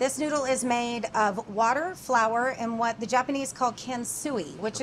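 A woman's high-pitched voice at a moderate pace, with light background noise. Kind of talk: cooking demonstration explanation. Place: kitchen. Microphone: lapel.

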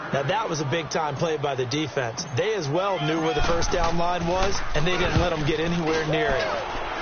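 Over noticeable background noise, a man with a fairly high pitch talks at a moderate pace with hardly any pauses, very even loudness and ordinary pitch variation. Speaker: football color commentator. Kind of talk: live sports commentary.

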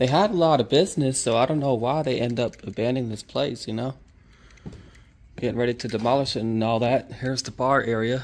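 This man talks at a fairly quick pace with ordinary pitch variation. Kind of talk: casual vlog chat. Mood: curious, relaxed. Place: hall. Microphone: phone near.

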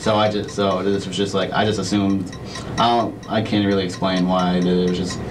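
A man talks at a moderate pace while music plays behind him. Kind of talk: interview answer. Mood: nervous, apologetic. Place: meeting room.

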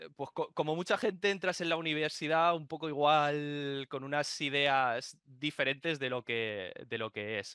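A man with a bright, sharp tone speaks at a fairly slow pace with ordinary pitch variation, the sound dry with no echo and the background quiet. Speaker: remote podcast guest. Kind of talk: interview answer. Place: home room. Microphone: video call.

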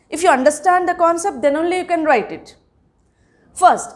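With an Indian accent, a woman speaks with ordinary pitch variation. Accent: Indian English (Telugu). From India, Telangana. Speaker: school teacher. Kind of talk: lecture. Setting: recorded online class. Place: classroom.

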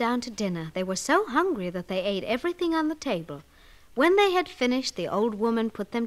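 Natural voice for reading

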